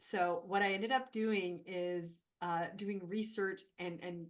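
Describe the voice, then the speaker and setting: Fairly even intonation accompanies a fairly slow delivery. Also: woman. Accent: French Canadian. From Northern Ontario, French Canadian. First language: French. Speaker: HR consultant and company founder. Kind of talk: podcast interview.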